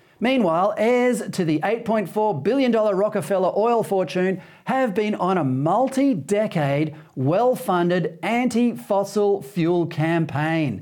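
With an Australian accent, a man speaks at a high pitch with lively intonation, very even loudness and hardly any pauses. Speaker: TV talk show host. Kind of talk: scripted opinion monologue. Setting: TV studio.

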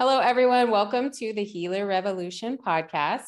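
Over a quiet background, a normal speaking voice moves at a moderate pace with lively intonation. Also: woman. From West Virginia. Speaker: podcast host and functional medicine practitioner. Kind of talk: casual interview; scripted intro.

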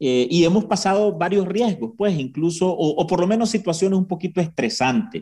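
A man with a high voice and a Nicaraguan accent, a dark, mellow tone, lively intonation, very even loudness and hardly any pauses. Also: moderate pace. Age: 30s. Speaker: journalist. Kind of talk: interview.

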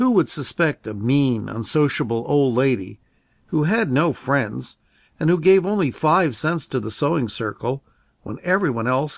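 Against a quiet background, a man with an unremarkable speaking voice talks at a fairly high pitch with lively intonation. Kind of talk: audiobook reading, literary narration. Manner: slow, soothing, measured narration; gentle storyteller, voicing characters with light expression.

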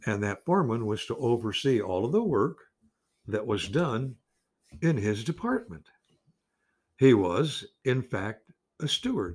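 Very clean recording, silent background, and a man speaking at a fairly slow pace. His voice is somewhat breathy, broken by long, frequent pauses. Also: medium pitch for a man, lively intonation. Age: 80s. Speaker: pastor. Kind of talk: sermon. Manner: halting.

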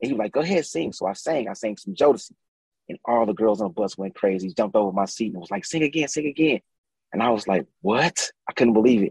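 The speaker goes at a very fast pace with lively intonation. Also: man. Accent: American. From St. Louis, US Midwest. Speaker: music producer and singer. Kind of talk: casual interview chat.

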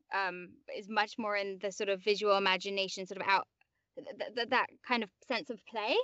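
A woman speaks in a London accent at a moderate pace. Her pitch is medium and her intonation fairly even. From England, West London. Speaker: actor and voiceover artist. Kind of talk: interview conversation.

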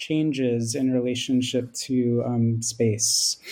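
In a Philadelphia accent, a man speaks with a dark, mellow tone on a very clean recording with a silent background. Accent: American (Philadelphia area). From US, Philadelphia. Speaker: film studies lecturer. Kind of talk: academic interview.

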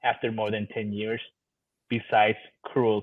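The man speaks at a moderate pace. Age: 30s. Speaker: DACA recipient. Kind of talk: casual chat.

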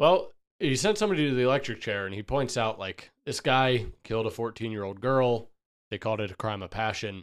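A man talks fairly quickly in a normal speaking voice, medium in pitch, with ordinary pitch variation. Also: very clean recording, silent background. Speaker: podcast host. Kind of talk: casual chat.

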